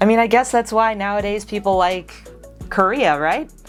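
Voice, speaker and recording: Someone with an American accent speaks with music in the background. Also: woman. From United States. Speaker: vlogger. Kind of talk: casual talk to camera.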